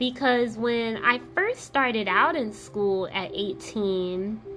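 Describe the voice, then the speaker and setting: Soft-spoken and very slow, a woman with a fairly high pitch, ordinary pitch variation and a bright, sharp tone talks amid audible room echo. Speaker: podcast host. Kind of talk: personal podcast monologue.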